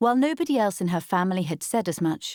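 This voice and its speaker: A woman with an unremarkable speaking voice and a fairly low pitch talks at a fairly quick pace. The recording is very clean with a silent background, the sound dry and close with no echo. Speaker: audiobook narrator. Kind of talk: audiobook fiction reading.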